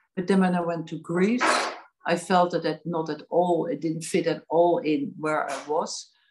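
Noticeable background noise sits behind a woman with a fairly low voice. She talks at a moderate pace with ordinary pitch variation. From Netherlands. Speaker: artist and gallery owner. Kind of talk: casual interview. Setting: video call. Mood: calm, reflective storytelling. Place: home room. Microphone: video call.

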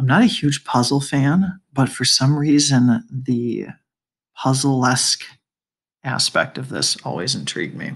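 Whispering at a fairly slow pace, a man sounds soft-spoken and somewhat breathy. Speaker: math teacher. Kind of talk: lecture. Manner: soft-spoken, whispery.

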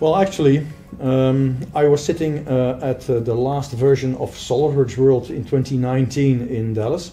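A man at a medium pitch with a Dutch accent, fairly even intonation, a very slow pace and light background noise. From Netherlands, Rotterdam area; Netherlands. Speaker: software sales manager; interviewee. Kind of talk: interview. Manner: halting. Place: meeting room. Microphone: camera far.

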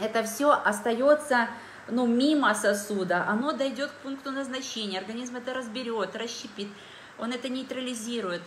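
A high-pitched woman's voice at a moderate pace, with ordinary pitch variation, big swings in loudness, audible room echo and light background noise. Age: 40s. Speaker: dietitian and wellness product distributor. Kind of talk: live stream product presentation. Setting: live video stream on social media. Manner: animated. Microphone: phone near.

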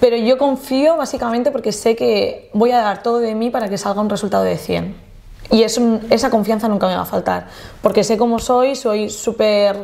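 Her tone is dark and mellow, and her pitch is fairly high. The woman keeps a moderate pace. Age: 20s. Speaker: luxury event planner; podcast guest. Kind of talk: casual interview chat; interview answer. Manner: animated. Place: studio.

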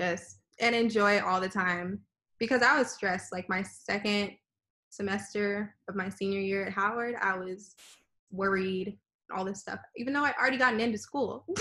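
Against a quiet background, a woman speaks at a medium pitch with a bright, sharp tone. Her pace is moderate and her intonation fairly even. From Texas, Houston. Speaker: dental student. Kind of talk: interview. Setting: video call. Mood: relaxed, reflective. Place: home room. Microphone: video call.

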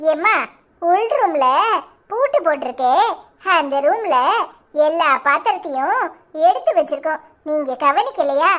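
Using a cartoonish character voice, a woman speaks very slowly at an extremely high pitch with lively intonation. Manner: polite, soothing.

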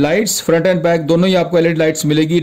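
This is a man's voice. His pitch sits high. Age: 40s. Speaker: YouTube auto news presenter. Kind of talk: casual video commentary.

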